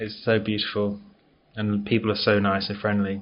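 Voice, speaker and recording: A man at a fairly low pitch and moderate pace, with an English accent. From England. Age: 30s. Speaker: IT consultant. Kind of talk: interview.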